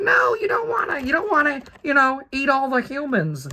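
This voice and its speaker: Doing a put-on character voice, a man projects loudly at an extremely high pitch and a moderate pace. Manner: nervous, timid.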